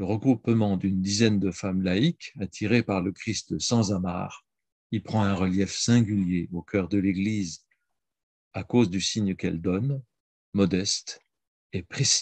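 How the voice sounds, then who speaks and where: A man talks at a moderate pace in a fairly low voice with fairly even intonation, leaving long, frequent pauses. The sound is dry with no echo over a quiet background. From France. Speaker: priest and historian; priest. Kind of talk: reading prepared talk. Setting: video call. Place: home room. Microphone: video call.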